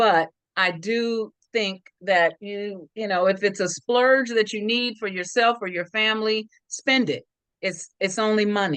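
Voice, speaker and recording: Over a quiet background, a woman with a plain, everyday voice speaks at a fairly slow pace with an American accent, medium pitch and ordinary pitch variation. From Sacramento, California. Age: 60s. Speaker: investment club member. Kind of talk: interview testimony.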